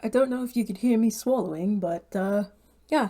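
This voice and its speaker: Her medium-pitched voice is somewhat breathy, and the speaker is a woman. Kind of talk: casual talk to camera.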